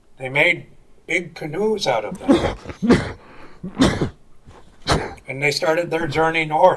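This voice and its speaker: A very slow pace with long, frequent pauses and lively intonation, over noticeable background noise. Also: man, fairly high pitch for a man. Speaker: Tlingit elder and clan storyteller. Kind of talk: traditional oral storytelling.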